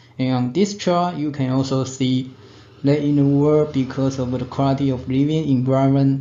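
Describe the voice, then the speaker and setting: Audible room echo surrounds a man of medium pitch speaking with a Taiwanese accent. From Taiwan (Tainan). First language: Chinese. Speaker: radiology technician. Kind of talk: conference presentation. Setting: webinar. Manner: halting.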